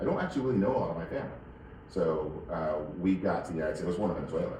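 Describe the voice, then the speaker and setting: The voice has a Mid-Atlantic accent, lively intonation and a very fast pace. Noticeable background noise and audible room echo are present. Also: man. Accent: American, Mid-Atlantic. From Northern Virginia. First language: Spanish. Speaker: wine shop owner. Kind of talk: interview. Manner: halting, many repetitions and fillers.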